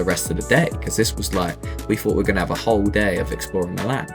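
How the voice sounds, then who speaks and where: Music plays in the background. Over it, a man speaks with a very deep, low pitch. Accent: British. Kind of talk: casual travel voice-over. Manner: casual, conversational.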